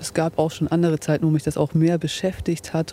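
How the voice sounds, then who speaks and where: A woman's very deep, low voice at a fairly quick pace, with noticeable background noise. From Bremerhaven, northern Germany. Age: 30s. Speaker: football fan. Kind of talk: casual chat. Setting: outdoors by and inside a stadium.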